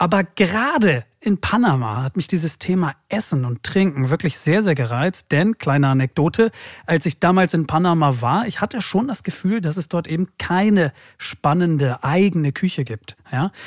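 In a very clean recording with a silent background, a man with a high pitch and lively intonation comes across with a dry, close sound and no echo. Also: moderate pace. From Germany, Hamburg. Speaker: podcast host. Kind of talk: casual chat.

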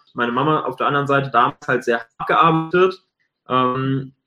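The voice is a man's, pitched medium. His pace is moderate. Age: 20s. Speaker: video agency owner and entrepreneur. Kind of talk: interview.

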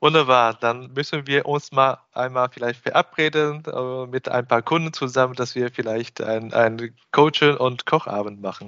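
Talking at a moderate pace, a man keeps a medium pitch and fairly even intonation. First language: Chinese (speaking German). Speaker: podcast host and business consultant. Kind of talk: interview. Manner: hesitant, frequent filler sounds.

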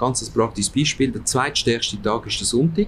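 Lively intonation at a moderate pace, somewhat breathy. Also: man. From Switzerland, Aargau, Italian parents. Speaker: department store executive. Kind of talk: interview. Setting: restaurant.

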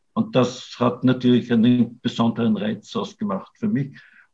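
Somewhat breathy, a man speaks at a fairly slow pace with medium pitch and ordinary pitch variation. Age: 60s. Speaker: writer and artist. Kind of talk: interview conversation.

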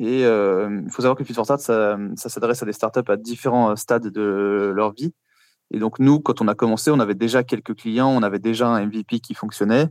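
A man speaks at a moderate pace and medium pitch in a plain, everyday voice. The intonation is fairly even, with a dry, close sound with no echo and a quiet background. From France, Paris. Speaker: startup founder. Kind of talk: interview answers.

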